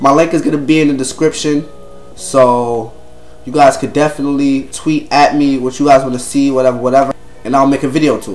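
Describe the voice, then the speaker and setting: Against music in the background, a man with an American accent and a fairly high pitch talks at a fairly quick pace with fairly even intonation and big swings in loudness. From New York City (Brooklyn). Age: 20s. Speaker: gaming YouTuber. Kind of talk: casual channel introduction. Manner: casual, slangy.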